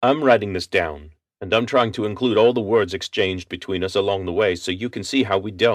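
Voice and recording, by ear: A quiet background behind someone reading aloud in a natural voice, pitch varying in an ordinary way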